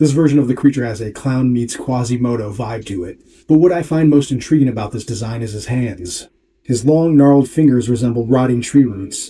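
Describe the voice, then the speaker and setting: A man's medium-pitched voice, dark and mellow in tone, fairly quick in pace, with ordinary pitch variation. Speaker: video essayist and painter. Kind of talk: scripted narration. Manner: self-described sloppy diction.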